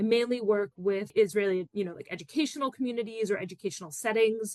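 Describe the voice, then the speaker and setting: A woman with an American accent talks at a very fast pace at a medium pitch. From US Northeast, Philadelphia suburbs. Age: 30s. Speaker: educator and activist. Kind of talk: podcast interview. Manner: casual, many fillers.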